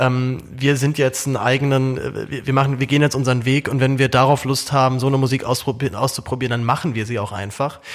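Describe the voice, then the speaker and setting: A man talks at a fairly quick pace and a medium pitch. His intonation is flat and monotone. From Germany. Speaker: podcast host. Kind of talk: casual chat. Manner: repeats words, halting.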